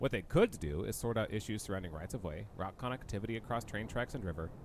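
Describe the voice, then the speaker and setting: An American-accented man with a fairly low pitch speaks at a very fast pace with lively intonation. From United States. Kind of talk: video essay narration.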